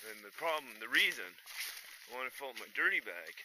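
A man speaks at a moderate pace with ordinary pitch variation, the sound dry with no echo but carrying noticeable background noise. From Canada. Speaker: hiking vlogger; backpacker vlogger. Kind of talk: outdoor vlog narration; casual vlog chat. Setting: outdoors. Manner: casual, hesitant with many fillers. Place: forest. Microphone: phone near.

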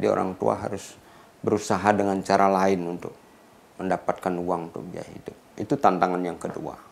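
His very deep, low voice goes at a fairly quick pace, with ordinary pitch variation and big swings in loudness. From Bali, Gianyar; Bali, Indonesia. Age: 60s. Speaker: professor; professor profiled. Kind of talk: interview; interview answer. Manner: hesitant with fillers. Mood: calm, reflective. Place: studio.

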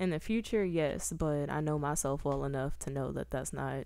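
At a moderate pace, a woman speaks. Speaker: recurring podcast guest. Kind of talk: casual chat. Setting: home studio, in person.

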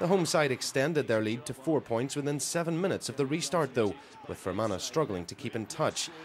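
A man's lively intonation comes through at a fairly quick pace, set against noticeable background noise. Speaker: sports reporter. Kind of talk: pre-recorded sports report voiceover. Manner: lively, flowing play-by-play recap.

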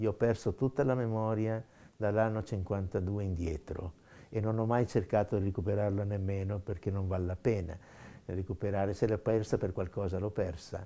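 Intonation is fairly even. A dark, mellow tone carries through. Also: man, fairly low pitch for a man, moderate pace. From Trentino, northern Italy. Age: 70s. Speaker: professor and emigrant; professor. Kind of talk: interview testimony. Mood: calm, reflective. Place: home room.

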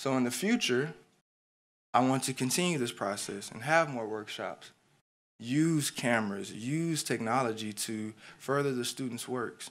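With an ordinary speaking voice, a man talks at a medium pitch and a fairly slow pace with ordinary pitch variation, on a very clean recording with a silent background. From Houston, Texas. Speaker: graphic designer and educator, design student presenting. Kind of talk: presentation / pitch talk.

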